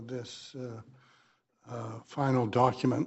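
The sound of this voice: At a fairly slow pace, a man speaks in a dark, mellow tone.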